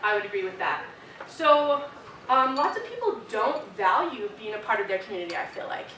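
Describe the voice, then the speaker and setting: Lively intonation and a fairly quick pace in an American accent, with audible room echo and noticeable background noise. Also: woman. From US West (Arizona, then Idaho). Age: 20s. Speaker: student leader. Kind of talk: keynote speech. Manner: casual, filler-heavy.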